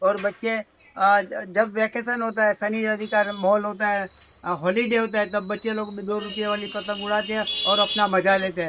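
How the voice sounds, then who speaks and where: With noticeable background noise behind him, a man talks in a high pitch with monotone, flat intonation. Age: 70s. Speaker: kite shop owner. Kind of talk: interview. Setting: shop in a market. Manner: halting.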